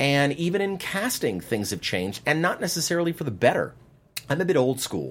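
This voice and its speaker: A man with an American accent and vocal fry speaks with very wide pitch swings. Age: 50s. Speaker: casting director. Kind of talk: interview. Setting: studio.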